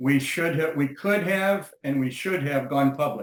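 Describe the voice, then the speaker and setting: The delivery has a moderate pace. Pitch variation is ordinary. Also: man. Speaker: software company co-founder. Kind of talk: interview. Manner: energetic, intense.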